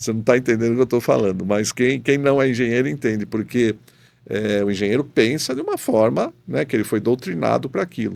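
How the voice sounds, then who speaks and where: A man with a plain, everyday voice, medium pitch, ordinary pitch variation and a fairly quick pace. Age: 60s. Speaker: professor and rotational molding specialist. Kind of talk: podcast interview.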